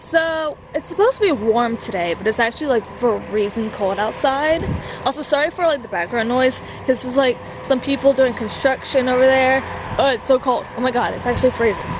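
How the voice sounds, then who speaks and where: At a fairly quick pace, a woman speaks in a high pitch with ordinary variation, the sound dry with no echo but with noticeable background noise. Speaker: vlogger. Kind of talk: casual vlog chat. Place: garden. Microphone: phone near.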